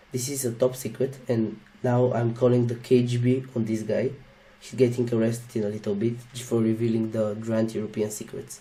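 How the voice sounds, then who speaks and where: Speaking fairly quickly with a Slavic accent, a man holds a medium pitch in a monotone, flat delivery with big swings in loudness. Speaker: YouTuber reacting to a video. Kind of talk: casual reaction commentary.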